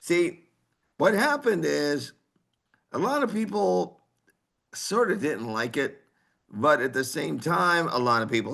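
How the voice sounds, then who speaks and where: A man speaks in a bright, sharp tone with vocal fry, very wide pitch swings, and long, frequent pauses. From Texas. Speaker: heavy metal singer. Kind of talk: casual interview chat. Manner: animated.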